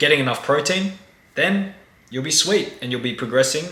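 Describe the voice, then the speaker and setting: A man talks at a very fast pace. Audible room echo and noticeable background noise come through. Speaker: dating coach. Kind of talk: tutorial.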